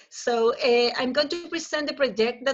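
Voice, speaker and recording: A woman with a Chilean accent at a moderate pace, with ordinary pitch variation. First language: Spanish. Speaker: professor. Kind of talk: conference presentation. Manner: halting.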